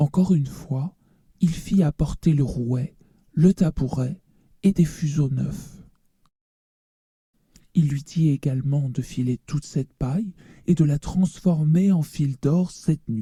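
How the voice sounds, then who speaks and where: In a put-on character voice at a low-to-middle pitch, the speaker moves at a fairly slow pace with long, frequent pauses. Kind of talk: read story. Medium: read story.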